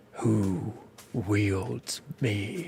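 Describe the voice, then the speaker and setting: A man whispers in a put-on character voice. The sound is rumbling. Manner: whispering.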